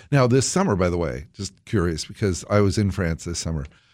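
Recorded very cleanly against a silent background, a man speaks with a very deep, low pitch, vocal fry and lively intonation. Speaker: podcast host. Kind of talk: casual interview.

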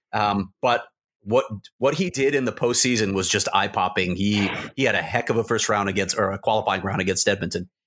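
A man speaks in an ordinary speaking voice with a fairly low pitch and ordinary pitch variation. His pace is fairly quick over a quiet background. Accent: American. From Chicago, US Midwest. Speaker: hockey reporter. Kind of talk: casual podcast chat.

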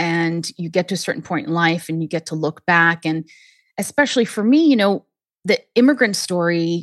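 A woman with a fairly low pitch and a normal speaking voice talks at a moderate pace, in a dry, close sound with no echo. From US Northeast (Harlem, then New Hampshire). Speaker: memoir author. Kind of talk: casual advice chat. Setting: studio.

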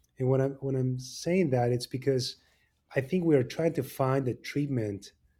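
A man talks at a medium pitch and a fairly quick pace, with ordinary pitch variation. His tone is dark and mellow and somewhat breathy, on a very clean recording with a silent background. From Argentina. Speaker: orthopedic surgeon. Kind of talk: interview.

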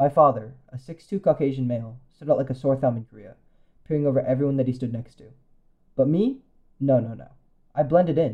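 The speaker talks very fast in a somewhat breathy voice with ordinary pitch variation and long, frequent pauses. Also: man. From US West Coast (San Francisco Bay Area). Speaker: commentary essayist. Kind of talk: personal essay read aloud.

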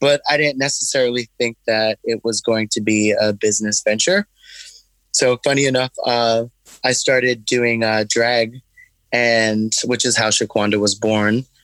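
In a very clean recording with a silent background, a man with an American accent speaks in a plain, everyday voice at medium pitch, with fairly even intonation, a fairly slow pace, and a dry, close sound with no echo. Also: very even loudness. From Brooklyn, New York. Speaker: hot sauce maker and drag performer. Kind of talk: interview.

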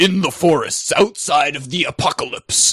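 Putting on a character voice, a man talks high in pitch at a middling tempo. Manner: dramatic.

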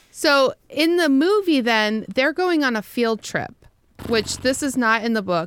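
In a normal speaking voice with lively intonation, a woman talks at a fairly slow pace on a very clean recording with a silent background. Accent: American. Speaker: podcast host. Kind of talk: casual chat between co-hosts.

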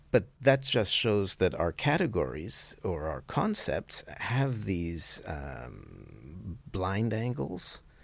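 The voice has vocal fry and swings very widely in pitch. It moves at a very slow pace with hardly any pauses. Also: man, very deep, low pitch for a man. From grew up multilingual, English and French. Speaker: author. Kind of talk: interview. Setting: conference.

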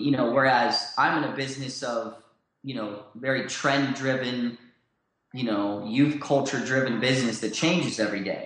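A man with an American accent talks at a moderate pace in a medium pitch, his intonation fairly even, with audible room echo around him. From Southern California. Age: 30s. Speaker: clothing brand founder. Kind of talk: interview.

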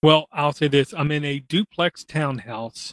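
A man with a plain, everyday voice, fairly high in pitch, at a fairly slow pace, in a dry, close setting with no echo. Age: 40s. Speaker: podcast host. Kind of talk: casual chat.

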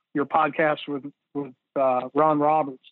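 A man speaks at a fairly high pitch with an Alabama accent. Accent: US Southern (Alabama). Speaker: high school football defensive coordinator. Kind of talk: technical coaching interview. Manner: halting, many fillers.

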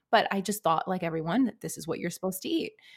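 A woman at medium pitch in a New York accent, with ordinary pitch variation and a very clean recording with a silent background. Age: 30s. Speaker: author and life coach. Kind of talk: casual interview.

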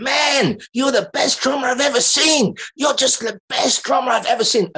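At a moderate pace, a man uses a put-on character voice pitched extremely high.

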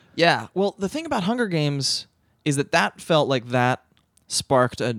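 A man with a plain, everyday voice speaks at a fairly high pitch and moderate pace with lively intonation, the sound dry and close with no echo on a very clean recording with a silent background. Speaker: podcast co-host. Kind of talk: casual chat.

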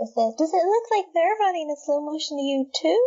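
A squeaky, put-on character voice at a moderate pace, with very wide pitch swings. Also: woman, extremely high pitch for a woman.

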